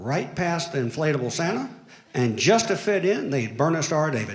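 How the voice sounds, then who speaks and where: In a strong Alabama accent, the speaker moves at a moderate pace with very wide pitch swings, and audible room echo surrounds the voice. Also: man, fairly high pitch for a man. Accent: thick Southern Alabama. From Alabama, Florence. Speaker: lawyer, amateur comedian. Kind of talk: stand-up. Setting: stage with audience.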